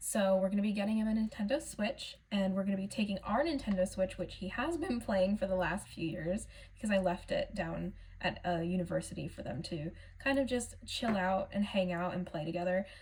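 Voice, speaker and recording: Somewhat breathy, a woman speaks at medium pitch with ordinary pitch variation. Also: fairly quick pace. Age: 20s. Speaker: budgeting vlogger. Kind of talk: casual vlog talk.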